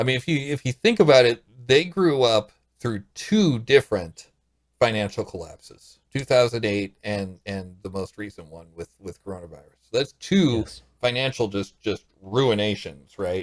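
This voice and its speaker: With an ordinary speaking voice, a man at medium pitch speaks at a moderate pace with lively intonation and big swings in loudness, the sound dry and close with no echo. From US Midwest, St. Louis. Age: 40s. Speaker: podcast guest. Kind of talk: casual chat.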